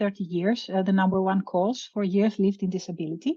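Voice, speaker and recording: The woman's voice sits at medium pitch and is somewhat breathy. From Greece. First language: Greek. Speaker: veterinary professor, researcher. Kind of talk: webinar lecture. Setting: video call webinar. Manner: hesitant, many fillers.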